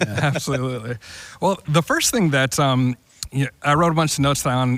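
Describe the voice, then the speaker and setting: A man's fairly high-pitched, ordinary speaking voice, moderate in speed. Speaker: church podcast host. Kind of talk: casual discussion.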